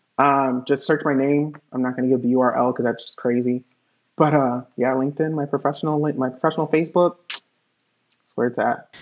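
With an American accent, a man speaks at a moderate pace in a plain, everyday voice, his pitch fairly high and his intonation fairly even. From Connecticut, US. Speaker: hotel industry worker and life insurance agent. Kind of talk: casual interview chat. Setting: remote video call.

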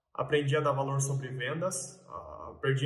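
In a bright, sharp tone with audible room echo, the speaker talks at a moderate pace with monotone, flat intonation. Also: man. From Mato Grosso, Brazil (Sorriso). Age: 20s. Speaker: farm real estate broker. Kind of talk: casual vlog monologue. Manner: hesitant, many filler sounds.

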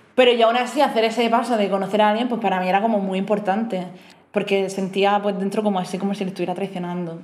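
Amid audible room echo, a woman with a medium pitch speaks very fast with fairly even intonation. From Murcia, Spain. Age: 30s. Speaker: podcast guest, host's flatmate. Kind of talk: casual chat.

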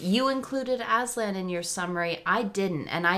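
A woman talks at a fairly quick pace in an ordinary speaking voice. Her intonation is lively. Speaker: podcast co-host.

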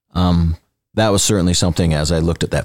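A man with a very deep, low voice talks very fast in an American accent. The sound is dry and close, with no echo. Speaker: construction company executive. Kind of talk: interview. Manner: animated.

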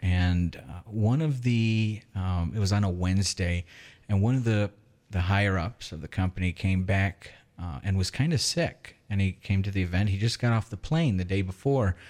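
A man with an American accent and a fairly low pitch speaks at a moderate pace in a plain, everyday voice with ordinary pitch variation. The recording is very clean, with a silent background. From Michigan, Lapeer area. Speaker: software engineer. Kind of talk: casual chat.

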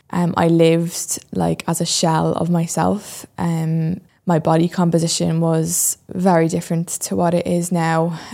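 In a Dublin accent, a woman talks fairly slowly with hardly any pauses, her fairly low voice dark and mellow in tone and monotone in intonation, on a very clean recording with a silent background. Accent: Irish (Dublin). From Ireland, Dublin. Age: 20s. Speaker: podcast host and fitness transformation storyteller. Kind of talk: solo podcast monologue, personal story. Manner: hesitant with frequent fillers.

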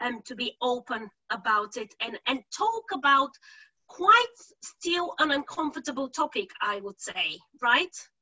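Her loudness rising and falling sharply, a woman with a Bulgarian accent talks at a high pitch with very wide pitch swings. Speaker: podcast host. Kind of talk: interview.

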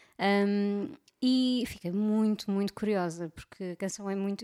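The recording is very clean with a silent background. A woman speaks in a European Portuguese accent. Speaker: podcast co-host. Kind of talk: casual chat.

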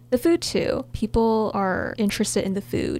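Over noticeable background noise, a woman speaks with an American accent at a medium pitch. Her pitch swings very widely, and her pace is moderate. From US. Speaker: student podcast co-host. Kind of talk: casual chat.

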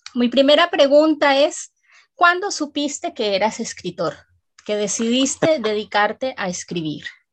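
The pitch swings very widely. Delivery comes at a fairly slow pace. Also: woman, high pitch for a woman. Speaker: radio host. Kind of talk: radio presenting; interview.

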